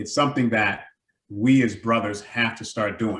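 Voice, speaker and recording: With a medium pitch, the man keeps a moderate pace. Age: 60s. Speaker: community health advocate. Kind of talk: virtual town hall discussion. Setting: video call. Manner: animated.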